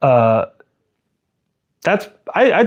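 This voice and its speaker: Nothing can be heard in the quiet background. An American accent shapes the speech. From Central Valley, California. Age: 40s. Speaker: tool reviewer YouTuber. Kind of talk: live stream Q&A. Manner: halting, many fillers.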